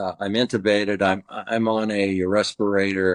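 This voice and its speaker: Speaking fairly slowly in an ordinary speaking voice, a man has an American accent and a fairly low pitch. The sound is dry and close with no echo, over a quiet background. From Southern California. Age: 60s. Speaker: recovering addict telling his story. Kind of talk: testimony.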